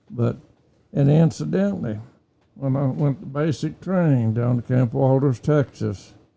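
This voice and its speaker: Somewhat breathy, a man of medium pitch with a dark, mellow tone and an Oklahoma accent. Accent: Oklahoma, Southern US. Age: 80s+. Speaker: war veteran. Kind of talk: interview answer.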